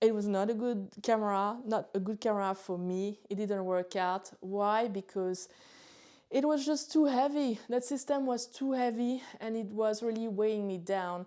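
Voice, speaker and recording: On a very clean recording with a silent background, a woman with a French accent speaks at a moderate pace in a dark, mellow tone, fairly high in pitch with ordinary pitch variation. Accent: French accent, retained. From France, near Chalon-sur-Saône. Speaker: photographer and gear youtuber. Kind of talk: casual vlog talk. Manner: hesitant, many fillers.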